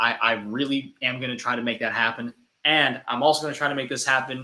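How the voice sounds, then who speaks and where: Here is a man with a medium pitch. His tone comes across bright and sharp. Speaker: comedy skit creator. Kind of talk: live stream chat. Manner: casual, stammering repeats.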